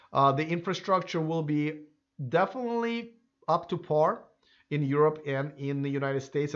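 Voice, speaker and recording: A man with a non-native accent talks at a fairly quick pace. His pitch is fairly high, with ordinary variation. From Russia. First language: Russian. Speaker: YouTuber on electric cars. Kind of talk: live stream Q&A reading viewer comments. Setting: live stream. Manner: halting, many fillers.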